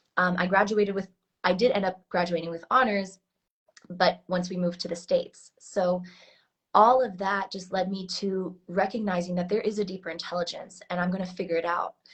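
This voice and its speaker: Somewhat breathy, a woman with an American accent speaks at a fairly quick pace and medium pitch in a monotone, flat intonation. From Switzerland, later US. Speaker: heart intelligence coach. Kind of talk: interview. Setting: live stream.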